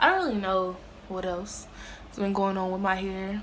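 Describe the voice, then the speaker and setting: Over noticeable background noise and audible room echo, the speech runs at a moderate pace. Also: woman. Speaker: beauty vlogger. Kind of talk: casual vlog talk. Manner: hesitant, filler-heavy.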